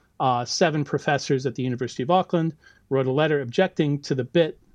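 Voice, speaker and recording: Someone with an American accent talks at a very fast pace with ordinary pitch variation, in a dry, close sound with no echo. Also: man. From US. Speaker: university lecturer in biology. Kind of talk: casual interview conversation.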